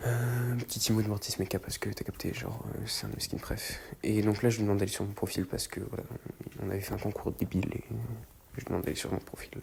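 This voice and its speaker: A soft-spoken man at a very fast pace, fairly low in pitch, with vocal fry and fairly even intonation. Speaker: gaming YouTuber. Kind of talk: gameplay voice-over commentary. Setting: at home at night, people sleeping. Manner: hesitant, many fillers.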